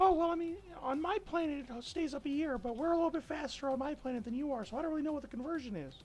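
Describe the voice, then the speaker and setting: Over clear background noise, a man does a put-on character voice at an extremely high pitch and a very fast pace. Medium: actual play. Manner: hesitant, chatty.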